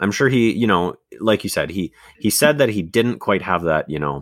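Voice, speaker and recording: A man's voice with vocal fry and very wide pitch swings, moderate pace, and a dry, close sound with no echo. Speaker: podcast co-host. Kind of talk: casual chat. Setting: video call.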